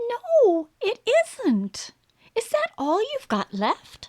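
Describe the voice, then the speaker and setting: A woman's put-on, squeaky character voice, extremely high in pitch, with very wide pitch swings and a very slow pace. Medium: read story.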